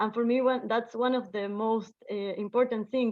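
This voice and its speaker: Fairly high in pitch, a woman speaks at a moderate pace with fairly even intonation. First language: not English. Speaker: event organizer. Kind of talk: group video call sharing. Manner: halting, many fillers.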